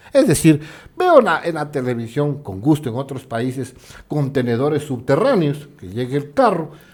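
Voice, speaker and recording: A man's animated voice at a moderate pace, fairly high in pitch, with ordinary pitch variation and big swings in loudness. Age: 60s. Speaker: guest commentator on local social issues. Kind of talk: TV talk show interview.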